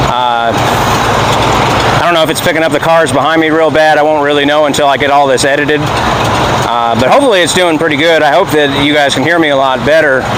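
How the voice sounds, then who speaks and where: A fairly high-pitched man talks at a fairly quick pace with very even loudness and fairly even intonation, with audible room echo and noticeable background noise. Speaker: vlogger, classic truck owner. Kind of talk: casual vlog. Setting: in and beside a running truck by a road. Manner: normal volume, trying not to be loud; hesitant, many fillers.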